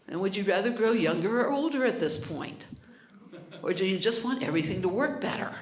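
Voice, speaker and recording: With very wide pitch swings and an animated tone, the speaker moves at a fairly quick pace amid noticeable background noise and audible room echo. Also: woman, medium pitch for a woman. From Hawaii. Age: 70s. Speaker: health technology speaker. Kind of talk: live presentation with demonstration.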